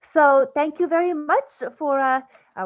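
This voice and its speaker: This is a woman speaking. She has a Lithuanian accent. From Lithuania, Vilnius. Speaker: research scientist. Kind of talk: scientific lecture.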